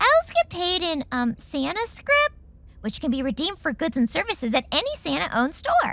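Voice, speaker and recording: A woman's put-on character voice, extremely high-pitched, at a fairly quick pace. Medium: audio drama.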